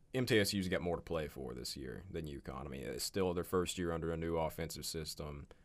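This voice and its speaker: With hardly any pauses, a man speaks at a very fast pace in a very deep, low pitch, showing vocal fry and ordinary pitch variation. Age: 20s. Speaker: college sports podcast host. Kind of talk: casual sports chat.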